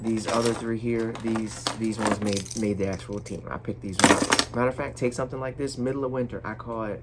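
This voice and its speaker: A man at medium pitch talks at a fairly quick pace with hardly any pauses. His intonation is fairly even, and there is noticeable background noise. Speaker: fishing youtuber. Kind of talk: casual talk to camera. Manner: loud.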